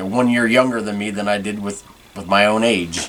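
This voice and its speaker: Noticeable background noise surrounds a man speaking at a fairly low pitch. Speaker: podcast host. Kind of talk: casual solo podcast monologue. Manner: fast; tongue-tied, flustered.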